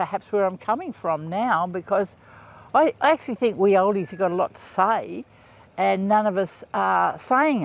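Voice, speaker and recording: In a strong Australian accent, a man speaks at a fairly slow pace with a high pitch and ordinary pitch variation, the sound dry and close with no echo on a very clean recording with a silent background. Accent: broad Australian. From rural Queensland, Australia. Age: 70s. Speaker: podcaster. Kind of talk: casual monologue. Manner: halting, many fillers.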